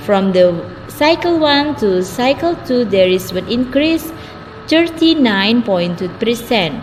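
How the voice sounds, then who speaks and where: Against noticeable background noise, a woman with a high pitch speaks at a very slow pace, her pitch swinging very widely. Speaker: student presenter. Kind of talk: academic presentation.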